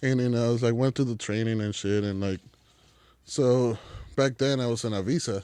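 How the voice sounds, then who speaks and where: A man speaks with a slight Mexican accent and a dark, mellow tone. His intonation is fairly even, broken by long, frequent pauses. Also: medium pitch for a man, fairly quick pace. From Mexico. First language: Spanish. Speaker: chef. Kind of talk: casual chat. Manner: casual, filler-heavy.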